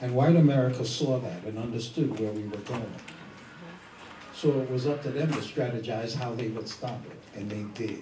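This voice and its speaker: A man speaks at a moderate pace in a medium pitch with fairly even intonation. The recording has audible room echo and noticeable background noise. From New York (Harlem). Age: 70s. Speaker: elder activist and speaker. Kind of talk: panel discussion.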